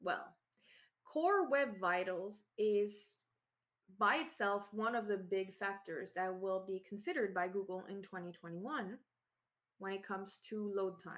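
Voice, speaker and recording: With a Quebec accent, a woman speaks at a fairly slow pace with long, frequent pauses, a medium pitch and ordinary pitch variation, over a quiet background. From Quebec, Canada. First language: French. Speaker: SEO consultant and conference speaker. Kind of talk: technical conference talk. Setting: remote online talk from home. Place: home room. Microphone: webcam.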